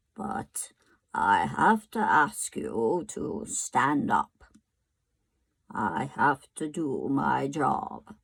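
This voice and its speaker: A woman in a put-on character voice, at a very slow pace. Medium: read story. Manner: polite, apologetic.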